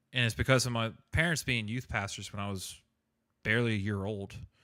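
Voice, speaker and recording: A man's bright, sharp voice in a very clean recording with a silent background. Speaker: gaming streamer. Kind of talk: casual chat. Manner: halting.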